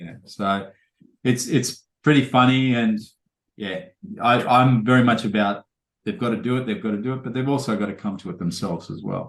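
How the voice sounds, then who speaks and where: The speaker, with an Australian accent, goes at a fairly quick pace with ordinary pitch variation, long, frequent pauses and big swings in loudness. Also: man, medium pitch for a man. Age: 50s. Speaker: podcast host. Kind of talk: casual chat.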